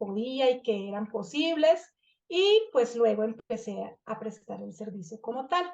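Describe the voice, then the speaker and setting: This woman speaks with a Colombian accent. Her pitch is fairly high, with ordinary variation. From Colombia, Bucaramanga. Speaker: family constellation therapist and trainer. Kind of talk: online master class presentation. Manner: halting, many fillers.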